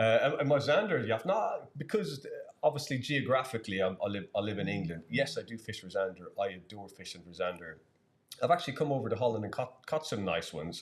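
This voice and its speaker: With an Irish accent and vocal fry, a man speaks at a very fast pace, his pitch swinging very widely and his loudness shifting in big swings. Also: medium pitch for a man. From Ireland. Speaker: angler and live-stream commentator. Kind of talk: live commentary. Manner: halting, many repeated words.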